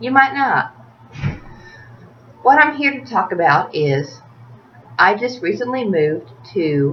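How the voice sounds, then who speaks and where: A woman with a Tennessee accent speaks at a fairly slow pace, leaving long, frequent pauses. Her pitch swings very widely over noticeable background noise. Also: medium pitch for a woman. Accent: Southern US (Tennessee). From US South, Tennessee (Smyrna, near Nashville). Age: 30s. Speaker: video blogger. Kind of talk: casual rant to camera.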